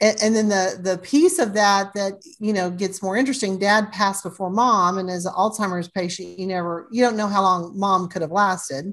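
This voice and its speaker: Here is a woman with an ordinary speaking voice. Her pitch is medium and her pace moderate. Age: 60s. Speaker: family legacy planner and author. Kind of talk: podcast interview.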